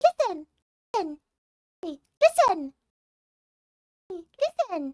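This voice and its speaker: A put-on character voice pitched extremely high drags along at a very slow pace. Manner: cute, insistent.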